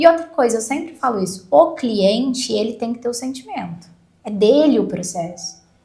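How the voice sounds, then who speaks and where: Her fairly high voice swings very widely in pitch and loudness shifts a great deal, all at a moderate pace. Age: 30s. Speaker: lawyer. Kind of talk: podcast interview.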